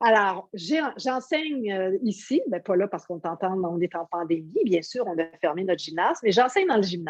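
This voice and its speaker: With a normal speaking voice, a woman of medium pitch talks at a moderate pace with lively intonation and hardly any pauses. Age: 60s. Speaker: yoga teacher. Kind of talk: interview.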